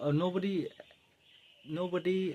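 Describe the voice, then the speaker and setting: A man talks with an Indian accent. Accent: Indian English, Hindi speaker. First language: Hindi. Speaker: English-learning YouTuber. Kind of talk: tutorial. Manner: halting, many fillers and restarts.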